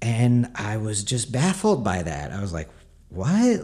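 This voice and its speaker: The voice has a dark, mellow tone and very wide pitch swings, heard on a very clean recording with a silent background. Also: man. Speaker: podcaster and novelist. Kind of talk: solo monologue, casual personal talk. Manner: hesitant, filler-heavy.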